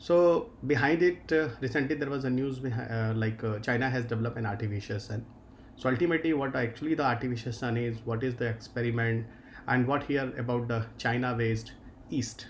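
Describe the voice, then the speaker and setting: Fairly quick, somewhat breathy delivery with fairly even intonation and light background noise. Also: man. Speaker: exam-prep teacher. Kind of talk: lecture. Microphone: webcam.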